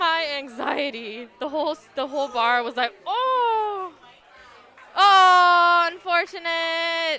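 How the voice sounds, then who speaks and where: Against noticeable background noise, a woman uses a raised, projected voice at an extremely high pitch and a very slow pace. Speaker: esports commentator. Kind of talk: live commentary. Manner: monotone.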